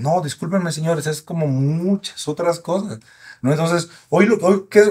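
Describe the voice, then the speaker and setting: A man's high-pitched voice at a fairly quick pace, with ordinary pitch variation and a quiet background. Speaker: sexologist doctor; guest. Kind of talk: casual interview, expert explanations. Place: studio. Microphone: studio mic.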